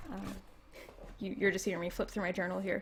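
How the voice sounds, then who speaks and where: With vocal fry, a woman in a Canadian accent speaks at a medium pitch. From Canada. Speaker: political commentator streamer. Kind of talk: casual livestream chat. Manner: halting, many fillers.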